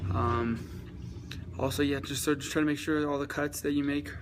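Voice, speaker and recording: Fairly quick in pace, a man with an unremarkable speaking voice talks at medium pitch. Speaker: DIY tiling tutorial maker. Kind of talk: tutorial. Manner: casual with many fillers.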